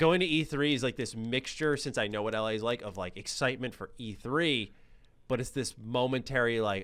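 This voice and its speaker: With an American accent, a man speaks at medium pitch and a fairly quick pace, his tone animated and his pitch variation ordinary. His loudness swings widely, and the recording is very clean with a silent background. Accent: slight New York accent on some words. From US, New York City. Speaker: gaming YouTuber. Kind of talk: casual chat.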